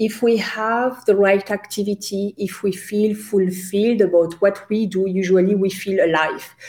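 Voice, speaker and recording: This woman has a French accent and a medium pitch. She talks at a moderate pace with fairly even intonation. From France. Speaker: career coach. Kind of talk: interview.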